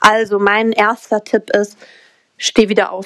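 In an ordinary speaking voice, a woman talks at a fairly slow pace and a fairly high pitch, the sound dry and close with no echo. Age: 20s. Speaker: mindset coach and crypto entrepreneur. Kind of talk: podcast interview.

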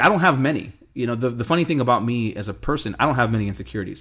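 Talking very fast with hardly any pauses, a man uses a medium pitch and lively intonation. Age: 30s. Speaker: host's husband. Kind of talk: casual chat. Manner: well spoken.

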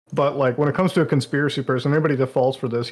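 Very fast and in a monotone, flat intonation, a man talks at a medium pitch. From India. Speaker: gamer, stream caller. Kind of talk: casual chat.

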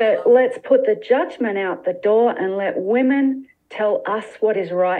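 A woman's plain, everyday voice, fairly high in pitch and at a fairly slow pace. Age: 50s. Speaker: naturopath and nutritionist. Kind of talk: interview conversation.

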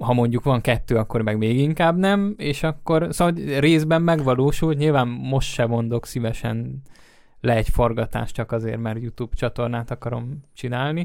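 The recording is very clean, with a silent background. A man talks at a moderate pace, his medium pitch showing ordinary pitch variation. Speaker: podcast host. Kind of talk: casual chat.

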